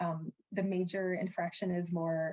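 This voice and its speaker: A woman speaks in a fairly low pitch with a dark, mellow tone. Her delivery is somewhat breathy and monotone, with flat intonation. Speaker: sport law presenter. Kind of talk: webinar presentation.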